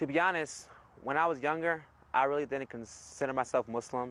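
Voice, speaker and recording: A man talks with an American accent in a plain, everyday voice. His pace is fairly quick and his intonation fairly even. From California, US. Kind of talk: testimony.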